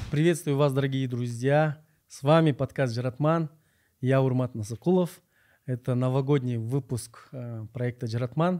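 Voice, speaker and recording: The tone is dark and mellow, delivered at a moderate pace with long, frequent pauses. The recording is very clean, the background silent. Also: man, medium pitch for a man. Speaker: podcast host. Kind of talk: interview; scripted narration.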